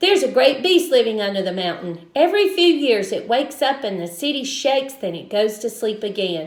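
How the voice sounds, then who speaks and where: Putting on a gruff character voice, a woman speaks at a fairly quick pace in a high pitch with very wide pitch swings. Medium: read story. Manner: barking, gruff.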